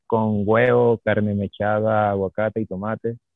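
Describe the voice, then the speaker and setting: Speaking in a fairly low voice, the man keeps his intonation monotone and flat. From Venezuela, Caracas. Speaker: chef. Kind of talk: interview on radio show.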